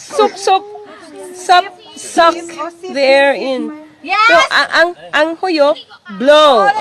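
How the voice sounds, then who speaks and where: Over noticeable background noise, a woman speaks at a very slow pace in an extremely high voice, with lively intonation and long, frequent pauses. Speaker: Hiligaynon-speaking host teaching local words. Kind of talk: casual talk to camera, demonstration.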